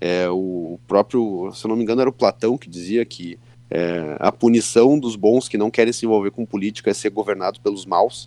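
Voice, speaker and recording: A man speaks with a southern Brazilian accent in a fairly low, dark, mellow tone. He barely pauses, and the sound is dry and close with no echo. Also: ordinary pitch variation, moderate pace. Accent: southern Brazilian (gaúcho) Portuguese. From Rio Grande do Sul, Santa Maria. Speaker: state deputy and lawyer. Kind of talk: interview. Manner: casual, hesitant fillers.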